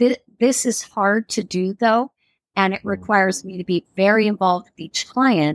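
A woman uses a normal speaking voice at medium pitch, with ordinary pitch variation and a moderate pace. Her loudness swings widely, and the sound is dry and close with no echo. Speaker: real estate coach and former agent. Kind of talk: casual interview conversation.

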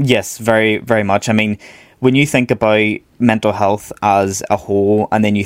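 With a Northern Irish accent, this man talks at a fairly quick pace in a fairly low pitch with fairly even intonation, recorded with a dry, close sound and no echo. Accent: Northern Irish (Belfast). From Northern Ireland, Belfast. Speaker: psychological wellbeing practitioner. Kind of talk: interview.

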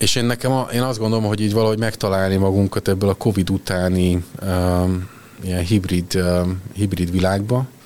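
With an ordinary speaking voice, a man talks at a fairly quick pace, his fairly low pitch carrying fairly even intonation at very even loudness. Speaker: HR executive. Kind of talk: interview.

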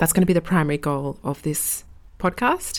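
With an Australian accent, a woman talks. Her pitch shows ordinary variation. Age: 20s. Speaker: strength coach and podcast host. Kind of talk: solo podcast monologue. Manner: hesitant, many fillers.

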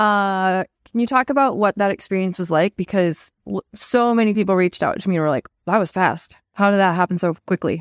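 In a normal speaking voice, a woman talks at a fairly quick pace with hardly any pauses, medium pitch and ordinary pitch variation, on a very clean recording with a silent background and dry, close sound with no echo. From Montana, US. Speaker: podcast co-host, partnerships professional. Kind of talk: casual chat.

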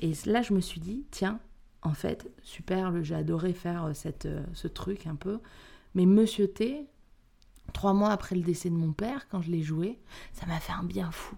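Somewhat breathy and dark, mellow in tone, a woman of medium pitch speaks at a fairly slow pace with ordinary pitch variation and long, frequent pauses. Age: young. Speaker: actress and stage director. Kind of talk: interview.

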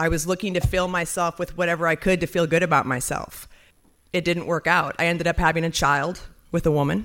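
A woman with an unremarkable speaking voice talks at a fairly quick pace and a fairly low pitch, keeping fairly even intonation and very even loudness in a very clean recording with a silent background. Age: 40s. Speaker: testimony speaker at a ministry dinner. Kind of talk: testimony.

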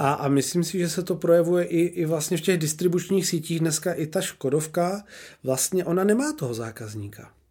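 A voice with a dark, mellow tone and lively intonation moves at a fairly quick pace on a very clean recording with a silent background. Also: man. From Czechia, Olomouc. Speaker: podcast host. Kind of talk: interview.

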